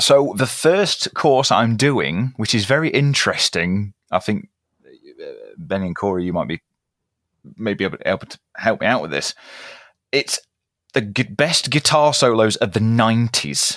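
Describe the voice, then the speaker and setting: With a British accent, a man speaks at a medium pitch and a fairly slow pace with long, frequent pauses, in a very clean recording with a silent background and a dry, close sound with no echo. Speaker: guitarist.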